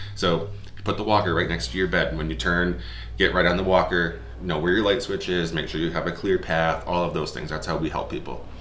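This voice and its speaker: A man talks at a fairly quick pace with ordinary pitch variation, with audible room echo and noticeable background noise. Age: 30s. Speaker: executive director of an independent living center. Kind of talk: testimonial interview. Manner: halting, with many fillers.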